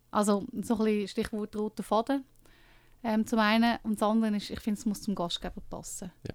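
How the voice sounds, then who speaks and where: In a very clean recording with a silent background, a woman speaks at a moderate pace and medium pitch in an ordinary speaking voice. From Switzerland, Lucerne. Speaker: book co-author and dinner event host. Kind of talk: radio interview.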